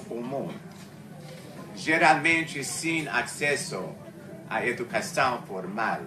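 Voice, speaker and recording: Fairly high-pitched male speech at a very slow pace, with lively intonation, long, frequent pauses, audible room echo and noticeable background noise. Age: 70s. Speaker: retired museum researcher and speaker. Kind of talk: talk at a discussion circle. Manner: halting, many fillers and self-corrections.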